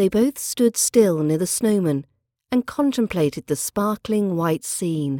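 Speaking at a fairly slow pace with a British accent, a woman has a medium pitch, a dark, mellow tone and very wide pitch swings. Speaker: podcast host and accent teacher. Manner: measured, storyteller-like narration with clear, careful pronunciation; clear, careful, teacherly pace.

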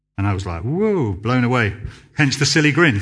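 Speaking with a southern English accent, a man uses a bright, sharp tone and lively intonation at a moderate pace. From southern England (Basingstoke, Hampshire). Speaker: church youth worker. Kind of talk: sermon. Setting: church. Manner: halting.

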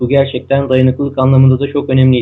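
This man's voice sits at a medium pitch. He talks at a fairly quick clip. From Turkey, Istanbul. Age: 30s. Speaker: ultramarathon runner. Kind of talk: interview. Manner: hesitant, many fillers.

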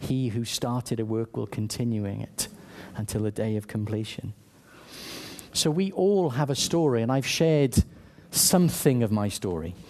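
Speaking with a Welsh accent at a moderate pace, a man with a medium-pitched voice uses lively intonation and leaves long, frequent pauses. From South Wales. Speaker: church leader, preacher. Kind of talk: sermon. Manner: halting, many repetitions.

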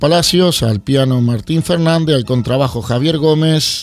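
Noticeable background noise sits under a man whose pitch varies in an ordinary way. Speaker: radio host. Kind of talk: radio show presenting.

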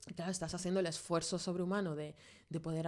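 The background is quiet as a woman speaks at a fairly low pitch. Her intonation is monotone and flat. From Venezuela, moved to Spain at 13. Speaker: graphic designer in advertising. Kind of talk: casual chat.

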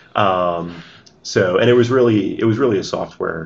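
A man with a New Jersey accent talks fairly quickly with ordinary pitch variation. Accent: American, New Jersey. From US, New Jersey. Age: 30s. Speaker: tech executive. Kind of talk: interview. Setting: office building.

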